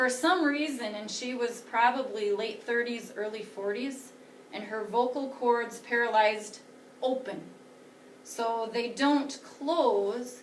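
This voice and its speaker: A woman's high-pitched voice at a very slow pace, with fairly even intonation and audible room echo. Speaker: teacher. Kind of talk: lecture.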